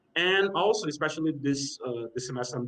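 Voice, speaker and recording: A Brazilian-accented man speaks at a medium pitch. His pace is fairly quick and his intonation lively. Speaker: panel chair, graduate student. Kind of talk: panel discussion. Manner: halting, many fillers.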